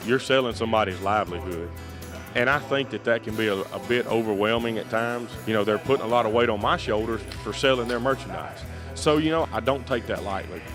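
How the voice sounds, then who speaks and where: A speaker with a Southern US accent talks at a very fast pace, with ordinary pitch variation. Music plays in the background. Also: man, medium pitch for a man. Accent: Southern American English. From Alabama, United States. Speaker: livestock auctioneer. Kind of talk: interview answer.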